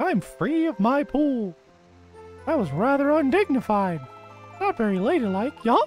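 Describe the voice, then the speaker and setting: A man's put-on character voice at an extremely high pitch, moderate in pace, with clear music in the background. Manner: haughty, dignified, with bubbling glug sounds.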